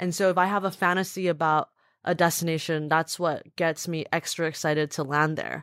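A woman speaks at a fairly low pitch with monotone, flat intonation. The recording is very clean, with a silent background. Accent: American. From US West Coast, Southern California. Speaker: travel company founder and food writer. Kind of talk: interview.

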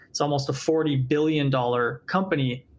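He has a plain, everyday voice, a fairly high pitch for a man, and a moderate pace. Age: 30s. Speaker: startup founder and CEO. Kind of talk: interview.

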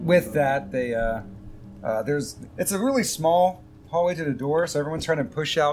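Music plays in the background while the voice moves at a moderate pace. Long pauses come often. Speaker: game master of tabletop role-play podcast. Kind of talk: actual play game narration. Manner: loud when nervous.

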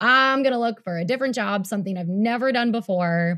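A woman's somewhat breathy, lively voice at a fairly quick pace, in a very clean recording with a silent background. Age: 30s. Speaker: health coach and former dancer. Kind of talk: interview.

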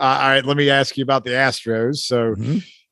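Background noise is noticeable. A man speaks at a medium pitch and a fairly quick pace. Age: 40s. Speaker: sports podcast host. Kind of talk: casual interview chat; show intro. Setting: home studio.

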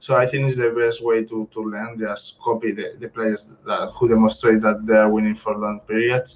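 With a Spanish accent and monotone, flat intonation, the voice moves at a moderate pace with hardly any pauses over noticeable background noise. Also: man, medium pitch for a man. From Spain. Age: 20s. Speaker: professional poker player. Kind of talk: interview. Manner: halting.

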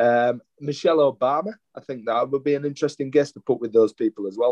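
Speaking at a fairly quick pace, a man with a Yorkshire accent uses a fairly high pitch, and the sound is dry and close with no echo. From Yorkshire, England. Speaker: educator and former school leader. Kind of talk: interview conversation. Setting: hotel room.

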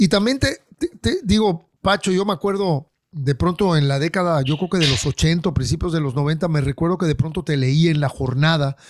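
A plain, everyday voice at a moderate pace, with ordinary pitch variation and hardly any pauses. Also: man, fairly high pitch for a man. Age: middle-aged. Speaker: podcast host and musician. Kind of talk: casual chat; show intro and announcements.

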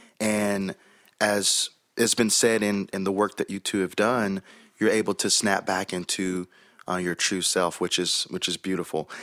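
A man with an American accent speaks at a moderate pace in a fairly low, monotone, flat voice. The recording is very clean with a silent background and a dry, close sound with no echo. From US South, Chattanooga, Tennessee. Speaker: pastor. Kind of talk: casual interview.

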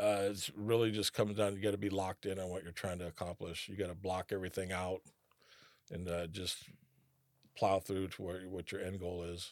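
A man with an American accent speaks at a very deep, low pitch and a fairly quick pace, in a monotone, flat delivery. The recording is very clean, with a silent background and a dry, close sound with no echo. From California, Rancho Cordova near Sacramento. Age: 50s. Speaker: author and recovering addict. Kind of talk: interview. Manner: halting, many fillers.

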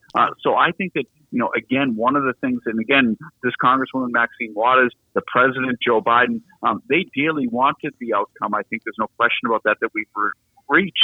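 Talking at a fairly quick pace, a man with a strong Boston accent has a medium pitch and ordinary pitch variation. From Boston, US. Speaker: law lecturer. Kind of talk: interview discussing politics and law. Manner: thoughtful, hesitant with fillers.

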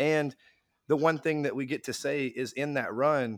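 A man talks at a moderate pace. His pitch is medium, with ordinary variation.

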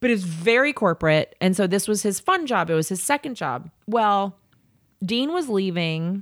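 In an animated tone with lively intonation, a woman with an American accent speaks at a medium pitch, on a very clean recording with a silent background and a dry, close sound with no echo. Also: moderate pace. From US South, Jackson, Mississippi. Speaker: pastry chef. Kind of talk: casual interview chat.

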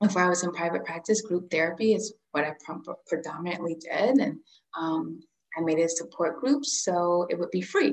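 Using vocal fry, a woman with a fairly low pitch talks at a moderate pace with lively intonation. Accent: American. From Central Florida. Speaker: holistic therapist. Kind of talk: casual chat.

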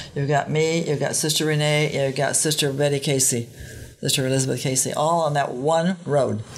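The voice keeps very even loudness and fairly even intonation at a fairly quick pace. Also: woman, very deep, low pitch for a woman. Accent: American. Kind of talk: casual chat. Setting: convent recording room.

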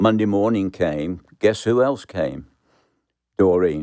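A man speaks with a Birmingham accent in a dark, mellow tone. His pace is moderate, and the background is quiet. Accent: Birmingham English (Brummie). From England, Birmingham. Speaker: pastor. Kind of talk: testimony.

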